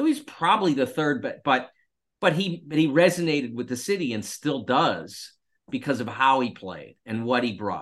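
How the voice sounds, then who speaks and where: An American-accented man with an ordinary speaking voice, lively intonation and a moderate pace. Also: fairly high pitch for a man. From Pittsburgh, Pennsylvania. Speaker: sports columnist. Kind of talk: casual chat.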